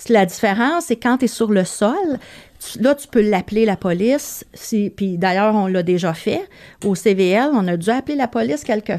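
Using a normal speaking voice, a woman talks with lively intonation at a moderate pace. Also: fairly high pitch for a woman. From Quebec, Montreal. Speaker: veterinary receptionist, former flight attendant. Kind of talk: casual chat.

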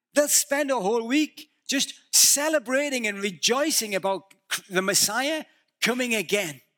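With an extremely high pitch and a bright, sharp tone, a man in a northern English accent speaks at a moderate pace with lively intonation, the sound dry and close with no echo. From northeast England. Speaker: visiting preacher. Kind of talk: sermon. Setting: church.

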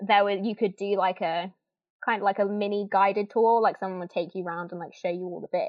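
A medium-pitched woman with an East Midlands accent, music in the background. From Northampton, England. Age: 20s. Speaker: former theme park worker. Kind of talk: interview.

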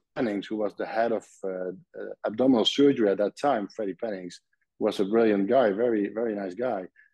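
With a Dutch accent, a man speaks at medium pitch with ordinary pitch variation. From Netherlands, Nijmegen. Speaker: surgeon. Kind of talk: interview. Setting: video call.

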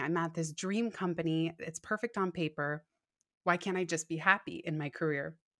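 A woman's fairly low voice with fairly even intonation, an unremarkable speaking voice on a very clean recording with a silent background. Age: 30s. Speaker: author and podcaster. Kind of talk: interview.

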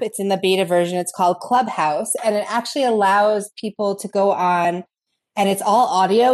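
Over a quiet background, a woman uses a normal speaking voice at medium pitch, with ordinary pitch variation and a moderate pace. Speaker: instructional coach and podcast co-host. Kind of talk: podcast interview.

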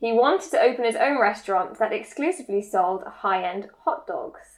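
A plain, everyday voice at a moderate pace, with lively intonation. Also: woman. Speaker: harpist and podcast co-host. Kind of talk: casual chat.

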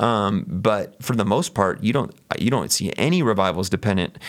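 In a very clean recording with a silent background, a man with a fairly low pitch and an ordinary speaking voice talks at a moderate pace. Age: 40s. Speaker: pastor. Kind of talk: casual chat.

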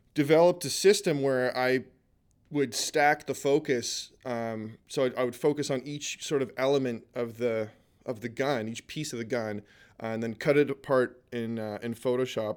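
In a Canadian accent, a man speaks at a moderate pace in an unremarkable speaking voice, medium in pitch with ordinary pitch variation, on a very clean recording with a silent background. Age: 40s. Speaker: artist and photographer. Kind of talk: casual chat.

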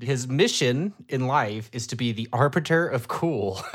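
A normal speaking voice with an American accent talks at a fairly slow pace with ordinary pitch variation, on a very clean recording with a silent background. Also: man. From Ohio. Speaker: podcast co-host. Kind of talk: casual chat.

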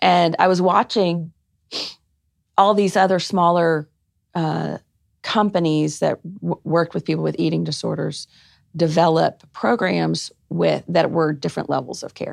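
Against a quiet background, the voice comes through at a fairly slow pace with a dry, close sound and no echo. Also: woman. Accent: American. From Arkansas, US South. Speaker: clinical psychologist and non-profit founder. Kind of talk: podcast interview.

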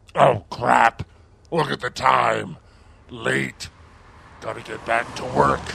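A man puts on a raspy character voice with a very deep, low pitch and very wide pitch swings. He speaks at a very slow pace with long, frequent pauses. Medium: audio drama.

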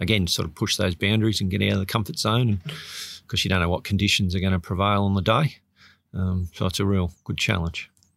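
A man speaks at a very fast pace with an Australian accent. His pitch is fairly low and his intonation fairly even. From Sydney, Australia. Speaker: botanic gardens curator and open water swimmer. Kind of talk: interview.

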